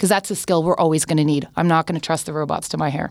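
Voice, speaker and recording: The speaker has a Canadian accent. The pace is very fast. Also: woman. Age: 40s. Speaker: tech and social media executive. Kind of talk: podcast interview.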